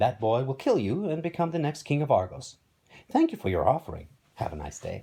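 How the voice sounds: A man uses a put-on character voice with a dark, mellow tone at medium pitch. Vocal fry and a slightly husky edge run through it, along with very wide pitch swings. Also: fairly quick pace.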